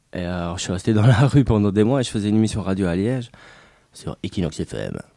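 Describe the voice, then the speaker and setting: With a dark, mellow tone and a fairly low pitch, a man speaks at a moderate pace. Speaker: former squatter. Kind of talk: testimony.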